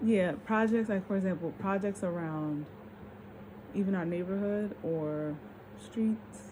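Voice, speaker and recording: A woman speaks at a fairly slow pace in a medium pitch, her tone dark, mellow and somewhat breathy, with ordinary pitch variation. She takes long pauses often. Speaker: vlogger. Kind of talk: casual monologue vlog. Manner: slurred speech from tiredness; halting, stammering.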